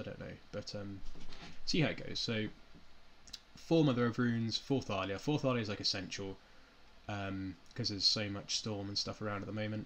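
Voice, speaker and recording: Despite long, frequent pauses, a man with a fairly low pitch talks at a fairly quick pace. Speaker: game streamer. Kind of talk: live stream commentary. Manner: soft-spoken; hesitant, many fillers.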